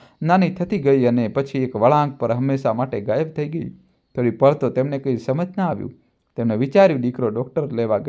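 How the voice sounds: With a quiet background, the text is read in a natural reading voice.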